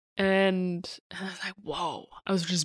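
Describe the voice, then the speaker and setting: A woman speaks at a moderate pace in a German accent, her intonation flat and monotone. The sound is dry and close, with no echo. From Germany. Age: 30s. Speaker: podcast host, entrepreneur. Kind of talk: solo personal storytelling.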